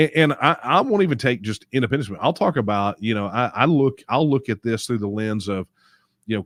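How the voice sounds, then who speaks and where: A moderate pace and ordinary pitch variation, in a very clean, dry, close recording with no echo and a silent background. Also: man. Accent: Texas. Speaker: political movement leader hosting Q&A. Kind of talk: live Q&A stream answering viewer questions. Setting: live stream. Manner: casual, with many fillers and repetitions.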